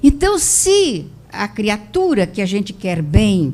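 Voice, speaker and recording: A woman talks very slowly in a medium-pitched, somewhat breathy voice. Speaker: spiritist lecturer. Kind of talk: lecture.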